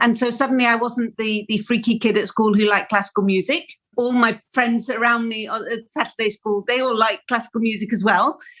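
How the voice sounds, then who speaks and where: A woman speaks in a Welsh accent. Her pitch is fairly high and her intonation fairly even. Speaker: flautist. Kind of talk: interview.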